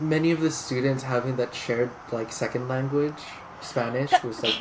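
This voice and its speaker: A man with an American accent is heard against noticeable background noise. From Southern California (Inland Empire). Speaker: clinical psychology doctoral student. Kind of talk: interview conversation. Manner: hesitant, many fillers.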